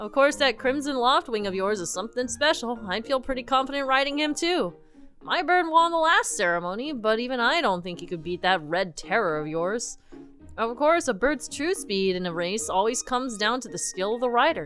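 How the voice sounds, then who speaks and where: In a put-on character voice, a woman speaks fairly quickly at a fairly high pitch. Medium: game stream. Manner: easygoing, friendly.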